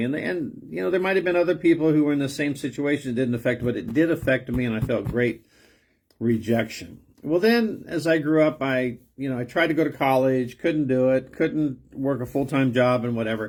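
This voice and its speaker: With an American accent, a man talks at a moderate pace and medium pitch with lively intonation, on a very clean recording against a silent background. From Southern California. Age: 60s. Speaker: pastor. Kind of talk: personal testimony. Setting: self-recorded video. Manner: hesitant, with many fillers.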